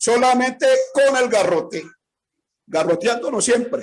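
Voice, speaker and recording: A man speaks at a moderate pace. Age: 70s. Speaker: street vendor leader. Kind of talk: complaint in group meeting.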